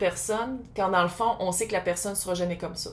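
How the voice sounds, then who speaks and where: Speaking in a Quebec accent, a woman keeps a fairly quick pace and fairly even intonation. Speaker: tarot reader. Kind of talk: tarot reading. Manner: casual, conversational.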